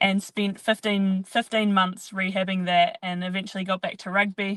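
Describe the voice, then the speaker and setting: A woman with a New Zealand accent, at medium pitch and moderate pace, with fairly even intonation and a dry, close sound with no echo. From New Zealand, rural Canterbury. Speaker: professional athlete. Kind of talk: interview.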